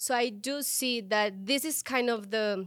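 Recorded very cleanly against a silent background, a woman with a Spanish accent speaks in a fairly high pitch with ordinary pitch variation. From Colombia. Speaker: tech product leader. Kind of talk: interview.

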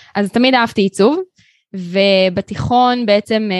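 In a normal speaking voice, a woman of medium pitch talks at a fairly slow pace with ordinary pitch variation, the sound dry and close with no echo. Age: 30s. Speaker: graphic designer and studio owner. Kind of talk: interview.

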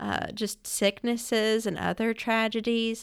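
A woman talks with an Alabama accent. The recording is very clean, with a silent background. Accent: Southern US (Alabama). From Alabama, US South (Florence). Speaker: restaurant franchise owner. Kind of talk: casual interview chat. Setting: studio.

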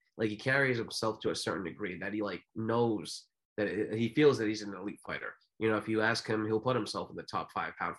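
This man has an unremarkable speaking voice with a fairly low pitch. He talks at a fairly quick pace with fairly even intonation. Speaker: boxing podcast co-host and boxing analyst. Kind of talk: casual chat.

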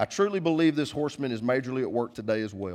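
A man with an American accent speaks in an animated tone at a very fast pace. His pitch is medium, with very wide swings. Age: 40s. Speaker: pastor. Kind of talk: sermon.

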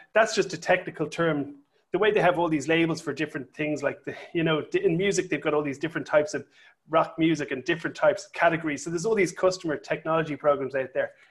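On a very clean recording with a silent background, a man with a fairly high pitch speaks at a very fast pace in an enthusiastic tone. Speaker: tech company founder. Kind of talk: interview.

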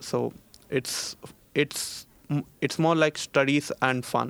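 With an Indian accent, a man talks in a monotone, flat intonation. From India, Bangalore. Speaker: master's student. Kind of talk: casual interview chat. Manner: halting, many fillers and repeats.

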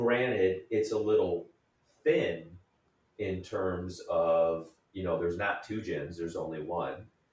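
In a room with audible echo, a man speaks at a fairly slow pace in a very deep, low pitch, somewhat breathy and with ordinary pitch variation. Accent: American. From Michigan, Detroit area. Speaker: real estate developer. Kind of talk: interview.

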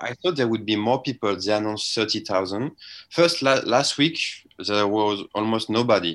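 A man is speaking at a moderate pace. He has a French accent. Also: medium pitch for a man, ordinary pitch variation. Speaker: sports journalist. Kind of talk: interview. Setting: remote call from Melbourne.

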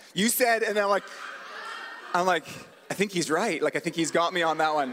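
Over noticeable background noise, a high-pitched man speaks at a very fast pace. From Canada, British Columbia (Port Coquitlam). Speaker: pastor. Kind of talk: sermon. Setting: church stage with audience. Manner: casual, conversational.

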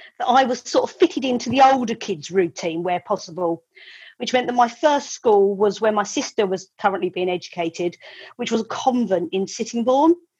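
A somewhat breathy voice with lively intonation. The accent is southern English. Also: woman, fairly high pitch for a woman, moderate pace. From Kent, England (Medway). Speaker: property and image consultant. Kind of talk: storytelling; interview. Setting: video call.

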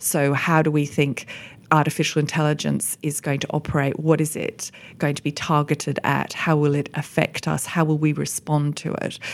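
With an Australian accent, a woman speaks at a moderate pace in a very deep, low pitch, her intonation monotone and flat. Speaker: economist, managing partner. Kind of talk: roundtable discussion. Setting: office recording, around a table.

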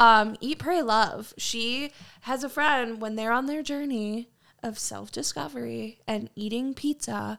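A woman with a plain, everyday voice and a fairly high pitch speaks with ordinary pitch variation on a very clean recording with a silent background. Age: 20s. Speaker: podcast co-host. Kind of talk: casual chat.

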